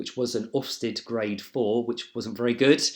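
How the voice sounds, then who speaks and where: A man's medium-pitched voice in a southern English accent, monotone and flat, at a moderate pace. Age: 40s. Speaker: job applicant, training manager. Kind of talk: video job application, personal introduction. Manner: hesitant, frequent fillers.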